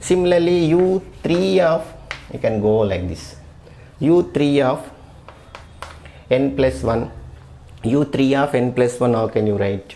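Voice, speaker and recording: Very wide pitch swings at a fairly slow pace, with long, frequent pauses, audible room echo and noticeable background noise. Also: man, medium pitch for a man. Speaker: maths lecturer. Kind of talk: lecture.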